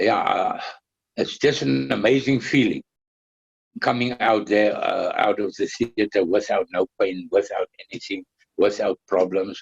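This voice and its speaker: A man speaks at a fairly slow pace, leaving long, frequent pauses. The sound is dry and close, with no echo. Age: 60s. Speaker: cancer patient. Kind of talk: testimony. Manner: halting, many fillers and repetitions.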